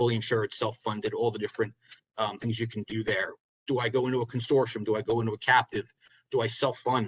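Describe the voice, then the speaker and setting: A somewhat breathy man's voice at a medium pitch, very fast and monotone with flat intonation, with a dry, close sound and no echo. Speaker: insurance advisor. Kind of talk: webinar presentation. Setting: webinar.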